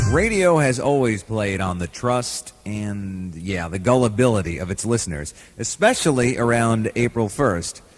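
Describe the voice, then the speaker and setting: A man with a plain, everyday voice talks at a moderate pace and fairly low pitch, using lively intonation and hardly any pauses. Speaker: radio announcer, compilation host. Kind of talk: radio host link between segments.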